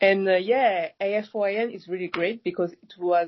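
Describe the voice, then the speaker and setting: The speaker has a French accent and talks at a fairly slow pace. Pitch variation is ordinary. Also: woman. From France, Paris. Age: 20s. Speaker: youth network member. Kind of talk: podcast interview. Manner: hesitant, many fillers.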